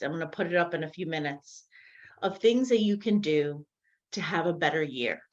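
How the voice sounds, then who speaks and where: In a normal speaking voice, a woman with a fairly low pitch talks at a fairly quick pace with ordinary pitch variation against a quiet background. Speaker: mental health and wellness advisor. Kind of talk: online seminar presentation.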